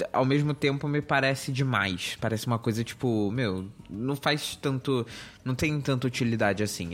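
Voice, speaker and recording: This man talks at a moderate pace. The recording is very clean, and the background is silent. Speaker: tech podcast host. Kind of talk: casual chat.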